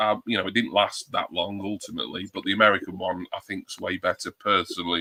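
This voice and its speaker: Speaking fairly quickly with a British accent, a man is heard in a dry, close sound with no echo. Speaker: livestream panelist. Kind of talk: casual chat.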